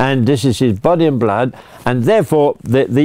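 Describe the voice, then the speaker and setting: A man speaks with a British accent. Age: 80s+. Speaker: priest. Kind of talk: religious talk. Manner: halting.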